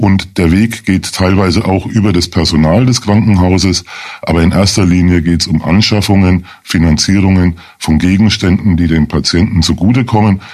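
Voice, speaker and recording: At a moderate pace, a man with a very deep, low pitch speaks with fairly even intonation and very even loudness. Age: 50s. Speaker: lawyer, chair of a hospital support association. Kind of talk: radio interview.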